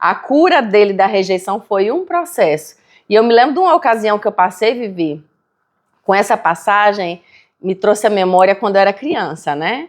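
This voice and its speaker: Against a quiet background, a woman with a northeastern Brazilian accent talks at a moderate pace with lively intonation. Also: medium pitch for a woman. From Brazilian Northeast (Natal, Rio Grande do Norte). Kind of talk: casual chat.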